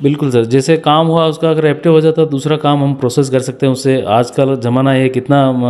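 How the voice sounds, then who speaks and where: A man with an ordinary speaking voice talks at a moderate pace in a fairly high pitch. His intonation is fairly even and his loudness very even. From Rajasthan, Udaipur district. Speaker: village council head. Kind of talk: interview.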